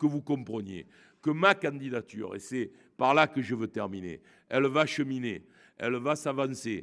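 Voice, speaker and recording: A man with a Marseille accent at medium pitch and moderate pace, with ordinary pitch variation, in a very clean recording over a silent background. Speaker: politician. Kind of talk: campaign speech. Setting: hall with audience. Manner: hesitant, many fillers.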